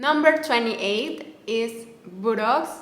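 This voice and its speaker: Audible room echo hangs on a woman's voice, which shows ordinary pitch variation. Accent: Mexican. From Mexico. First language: Spanish. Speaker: Spanish teacher. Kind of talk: language tutorial. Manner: repetitive, slow enunciation of words.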